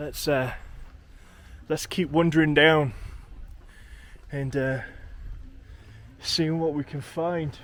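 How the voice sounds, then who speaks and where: At a very slow pace with long, frequent pauses, a man speaks in a fairly high pitch with monotone, flat intonation. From England. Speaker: travel vlogger. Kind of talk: vlog narration while walking. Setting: outdoors. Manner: casual, hesitant with fillers.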